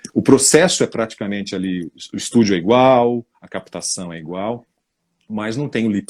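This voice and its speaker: A man with a fairly low pitch and lively intonation at a moderate pace, on a very clean recording with a silent background. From São Paulo state interior, Brazil. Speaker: voice-over narrator. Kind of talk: interview. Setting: live stream.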